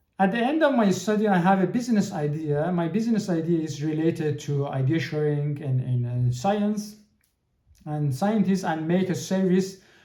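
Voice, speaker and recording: A dark, mellow tone with lively intonation and audible room echo. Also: man, high pitch for a man, moderate pace. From Iran. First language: Persian. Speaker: podcast host. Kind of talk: podcast monologue. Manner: halting, many repetitions and fillers.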